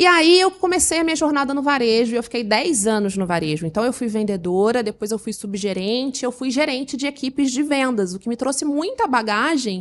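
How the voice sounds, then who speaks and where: A woman at a high pitch with very wide pitch swings, a fairly quick pace and hardly any pauses. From Rio de Janeiro, Brazil. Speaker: business consultant. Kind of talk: podcast interview. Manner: energetic.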